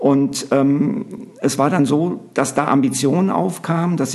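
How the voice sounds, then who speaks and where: Noticeable background noise sits behind this man. His pitch is fairly high and varies in an ordinary way. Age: 50s. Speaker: basketball coach and TV commentator. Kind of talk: interview.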